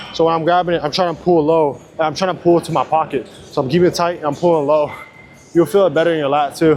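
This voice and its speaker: Noticeable background noise sits under a man's very fast speech. His pitch is fairly high and his intonation fairly even. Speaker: fitness vlogger. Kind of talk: casual gym vlog. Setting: gym. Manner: casual.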